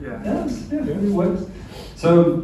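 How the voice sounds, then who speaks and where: Amid noticeable background noise and audible room echo, a man with a British accent speaks fairly slowly with ordinary pitch variation. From England. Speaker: bitcoin mining company representative. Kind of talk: panel talk at a meetup.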